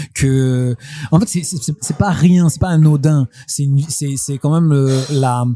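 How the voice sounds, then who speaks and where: Noticeable background noise runs behind a man speaking at a fairly slow pace. His pitch is fairly high and his intonation fairly even. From Le Havre, Normandy, northern France. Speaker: rapper. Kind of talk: casual interview chat. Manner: rolls extra Rs in words; repeats words, hesitant.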